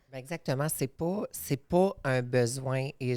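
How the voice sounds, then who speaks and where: A woman with an English accent speaks in a very deep, low pitch with ordinary pitch variation, on a very clean recording with a silent background. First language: English (speaking French). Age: 30s. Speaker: podcast guest. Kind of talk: podcast conversation.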